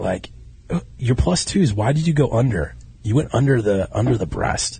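A medium-pitched man with an American accent and vocal fry talks at a moderate pace with lively intonation. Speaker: podcast host. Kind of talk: casual chat. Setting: studio. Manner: animated.

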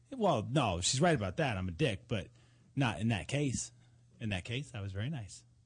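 The man has an unremarkable speaking voice pitched at a medium level. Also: lively intonation, quiet background. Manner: wisecracking, playful and teasing, jumping in over others and riffing on each line.

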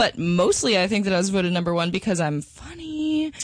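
Against a quiet background, a woman uses a normal speaking voice at a medium pitch and a fairly quick pace. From Minnesota and Texas, US. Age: 20s. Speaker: adult film performer. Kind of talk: interview.

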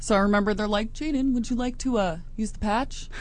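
Fairly quick and with ordinary pitch variation, a woman speaks. Background noise is noticeable. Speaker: radio show co-host. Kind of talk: casual chat. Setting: studio.

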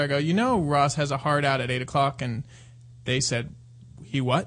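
Moderate pace and ordinary pitch variation in an unremarkable speaking voice. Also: man. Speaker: caller. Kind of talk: casual chat. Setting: phone call.

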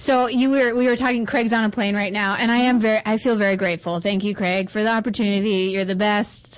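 A woman talks at a very fast pace with hardly any pauses. Her loudness stays very even over noticeable background noise. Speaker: radio co-host filling in for the main host. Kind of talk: casual talk-show chat and interview. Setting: studio. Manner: giggly, animated.

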